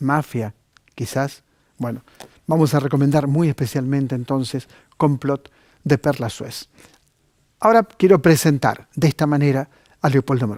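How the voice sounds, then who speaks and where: A man speaks at a moderate pace with a fairly high pitch and ordinary pitch variation. The sound is dry and close with no echo, and his pauses are long and frequent. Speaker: TV cultural program host. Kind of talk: TV book recommendation segment.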